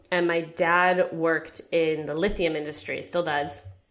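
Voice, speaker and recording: At a very slow pace, a woman speaks in a fairly low pitch with an American accent. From Japan and China (American expat). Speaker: personal finance author. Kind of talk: interview conversation.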